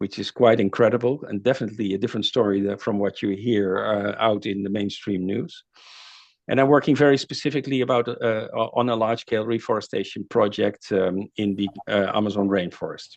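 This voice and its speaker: A man speaks with a Dutch accent at a fairly quick pace. His pitch is fairly low and his intonation fairly even. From Netherlands. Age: 60s. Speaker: climate author and speaker. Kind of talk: lecture. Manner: halting, many fillers.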